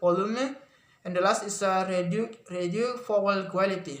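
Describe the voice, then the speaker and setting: A man with a high voice talks fairly slowly, his intonation staying fairly even. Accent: Indonesian. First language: Indonesian. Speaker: university student. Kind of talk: class presentation. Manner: halting, many fillers and self-corrections.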